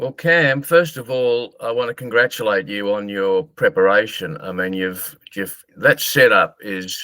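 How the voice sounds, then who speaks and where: This voice has a bright, sharp tone and lively intonation with an Australian accent. It moves at a fairly slow pace, and the sound is dry and close with no echo. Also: man. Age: 60s. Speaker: marketer and author. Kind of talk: interview.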